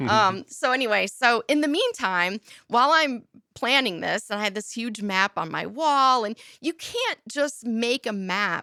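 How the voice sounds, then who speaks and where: A woman's fairly high, bright and sharp voice, fairly slow, with lively intonation, on a very clean recording with a silent background. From US Midwest, south of Chicago. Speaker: interfaith minister and world record holder. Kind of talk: interview. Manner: casual.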